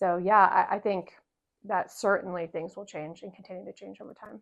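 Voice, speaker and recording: The speaker is a woman with an American accent. She talks at a moderate speed. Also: quiet background. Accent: Southern accent, stronger when home. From US South, North Carolina. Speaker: interview guest. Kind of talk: interview conversation.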